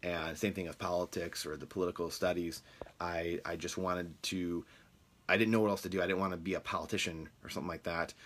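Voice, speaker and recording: In an American accent, a man with a very deep, low pitch talks at a very fast pace on a very clean recording with a silent background. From Michigan, US. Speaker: real estate podcast host. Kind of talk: casual monologue. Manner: halting with many fillers.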